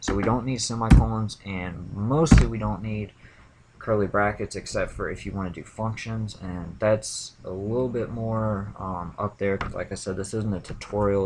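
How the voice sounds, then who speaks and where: With an unremarkable speaking voice, a man talks at a moderate pace, his fairly low pitch keeping a fairly even intonation. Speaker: programming video creator. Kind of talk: screencast demo. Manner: casual, with filler words.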